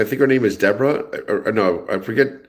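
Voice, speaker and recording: Talking at a very fast pace with ordinary pitch variation, the speaker has a New Jersey accent. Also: man. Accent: New Jersey American. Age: 60s. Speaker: livestream host. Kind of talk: casual livestream chat reading viewer comments. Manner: animated, conversational.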